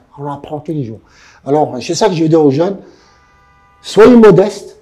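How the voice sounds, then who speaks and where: A man's pitch swings very widely as music plays in the background. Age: 70s. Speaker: adventurer and endurance athlete. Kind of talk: interview.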